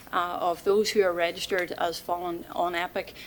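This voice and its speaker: A woman with a Mid Ulster accent. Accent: Northern Irish (Mid Ulster). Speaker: volunteer centre representative. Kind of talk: presentation to council committee. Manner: fast; hesitant, many fillers.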